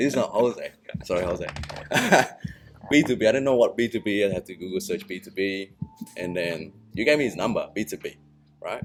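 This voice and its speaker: Over music in the background, a man speaks at a fairly quick pace with a non-native accent. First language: not English. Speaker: massage therapist. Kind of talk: casual chat. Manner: halting.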